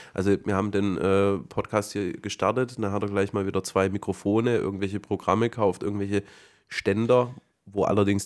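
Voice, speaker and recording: On a very clean recording with a silent background, a man talks at a fairly quick pace in a fairly low pitch, his intonation fairly even. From Swabia, southern Germany. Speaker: podcast host. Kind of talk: casual chat.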